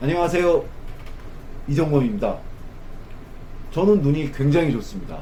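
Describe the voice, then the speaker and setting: A man with a high pitch and ordinary pitch variation talks at a moderate pace, leaving long, frequent pauses. Audible room echo surrounds his voice. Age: 50s. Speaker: optician. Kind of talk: tutorial. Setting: sitting at an eye test station.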